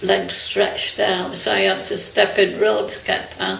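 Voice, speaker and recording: A woman talking at a fairly slow pace, with noticeable background noise. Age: 80s+. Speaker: retired canteen worker. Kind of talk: interview answer.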